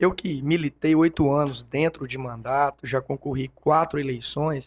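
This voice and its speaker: A fairly high-pitched man at a fairly slow pace, with a dry, close sound, no echo, and a very clean recording with a silent background. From Brazil, Itumbiara, Goiás. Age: 30s. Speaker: businessman and politician. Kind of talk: interview. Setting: studio.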